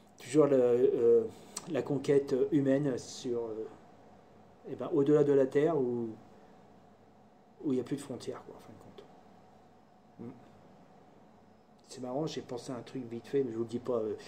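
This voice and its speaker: Pausing long and often, a man speaks at a moderate pace with medium pitch, fairly even intonation and big swings in loudness. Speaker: hobbyist maker / tutorial youtuber. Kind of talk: casual live tutorial. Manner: halting, many fillers.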